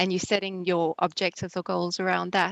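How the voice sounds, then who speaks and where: In a quiet background with a dry, close sound and no echo, a woman with a South African accent speaks at a fairly low pitch with monotone, flat intonation. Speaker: webinar host. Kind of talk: online webinar wrap-up.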